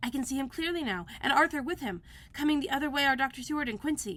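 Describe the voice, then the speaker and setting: A woman's put-on character voice, high-pitched and very fast. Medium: read story.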